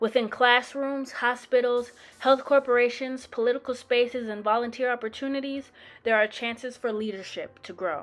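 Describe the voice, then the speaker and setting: The woman's voice sits high. Its pitch varies in an ordinary way. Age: 20s. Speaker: student discussion facilitator. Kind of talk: scripted narration.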